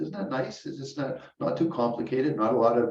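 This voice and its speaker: A man at a medium pitch with ordinary pitch variation, at a moderate pace, with audible room echo. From Canada. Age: 70s. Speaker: Buddhist teacher. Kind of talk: dharma talk. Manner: casual, halting with repetitions.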